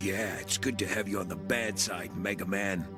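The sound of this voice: Over clear background music, a man uses a cartoonish character voice at a fairly low pitch and moderate pace.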